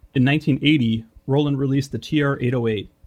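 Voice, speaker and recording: A man's medium-pitched voice with a Midwestern American accent and fairly even intonation. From Detroit, Michigan. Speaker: podcast host. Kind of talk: scripted narration.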